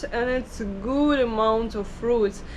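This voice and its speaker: Speaking very slowly, a woman with a high voice is heard with audible room echo. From Ukraine. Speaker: travel vlogger. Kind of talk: travel vlog. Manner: halting, with many fillers.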